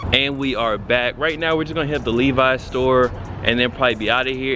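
A man talks very fast as music plays clearly behind him. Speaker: sneaker vlogger. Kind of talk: casual vlog chat. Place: street. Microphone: phone near.

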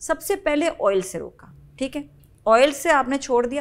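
A woman is speaking. Her intonation is lively. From Pakistan. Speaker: TV morning show host. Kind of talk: casual interview. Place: studio.

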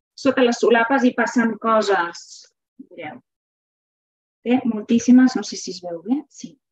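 A woman's fairly slow, fairly high-pitched speech with ordinary pitch variation, long and frequent pauses, big swings in loudness and a quiet background. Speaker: literature teacher and reading promoter; literature teacher. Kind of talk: webinar lecture with slides. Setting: video call webinar. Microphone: video call.

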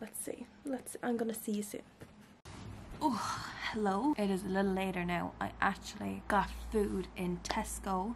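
A woman talks in an Irish accent. Light background noise sits behind her. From Ireland. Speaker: vlogger. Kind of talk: casual vlog. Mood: relaxed, chatty. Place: home room. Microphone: phone near.

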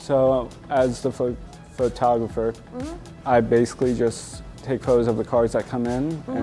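Over faint music in the background, a man speaks at a moderate pace in a monotone, flat intonation. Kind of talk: interview answer. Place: shop. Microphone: lapel.

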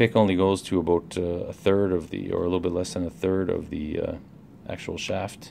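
Moderate pace and a very deep, low pitch from a man. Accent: Canadian. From Canada. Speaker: lockpicking hobbyist reviewer. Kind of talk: product review and demonstration. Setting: at work during a break. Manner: halting, many fillers.

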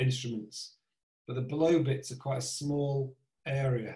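A man's dark, mellow, somewhat breathy voice, fairly slow and monotone, with audible room echo over a quiet background. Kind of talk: tutorial. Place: home room. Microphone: video call.

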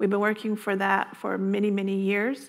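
In an American accent, a woman talks. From Navajo Nation, Arizona. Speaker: state agency director. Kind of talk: conference panel talk. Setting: stage with audience. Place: meeting room.

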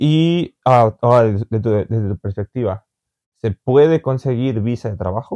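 Against a quiet background, a man speaks at a fairly slow pace in a medium-pitched voice with a dark, mellow tone and ordinary pitch variation. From Mexico. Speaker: vlogger and interviewer; vlogger, interviewer. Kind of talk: casual interview chat. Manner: halting, with many fillers. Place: home room.

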